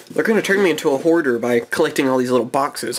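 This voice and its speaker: With noticeable background noise behind him, a man speaks at a very fast pace in a fairly high pitch. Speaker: gaming YouTuber. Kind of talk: card pack opening video. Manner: casual, rambling with fillers.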